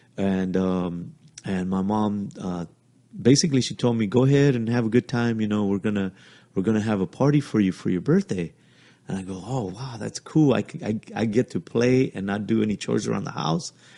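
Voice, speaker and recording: Speaking fairly quickly with a Spanish accent, a man has a fairly low pitch, a dark, mellow tone and ordinary pitch variation. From Mexico, Jalisco. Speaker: podcast guest, host's father. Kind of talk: casual chat, family storytelling. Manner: halting.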